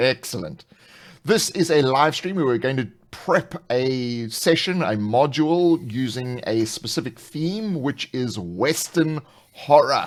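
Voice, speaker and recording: A man with a South African accent speaks at a fairly slow pace and medium pitch, with lively intonation. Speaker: tabletop RPG channel host. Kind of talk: live stream casual chat. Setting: live stream video call.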